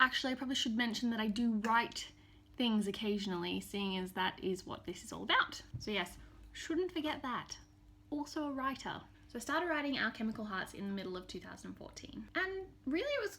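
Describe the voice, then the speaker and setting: With an Australian accent, a woman speaks at a fairly quick pace in a fairly high pitch, her pitch swinging very widely over noticeable background noise. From Australia, Townsville, Queensland. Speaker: novelist. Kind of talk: scripted self-introduction to camera.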